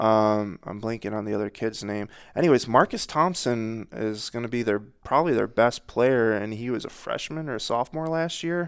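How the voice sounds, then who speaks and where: This man has a normal speaking voice and an American accent, at a medium pitch with ordinary pitch variation. He keeps a moderate pace with hardly any pauses. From Northern Michigan. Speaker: local sports reporter. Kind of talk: casual chat.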